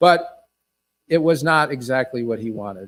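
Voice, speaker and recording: A man's fairly high voice in an upstate New York accent, with ordinary pitch variation and a fairly slow pace. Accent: upstate New York American. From upstate New York (Watertown). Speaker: author and former state official. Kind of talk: author talk. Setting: stage with audience. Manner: conversational, with fillers and restarts.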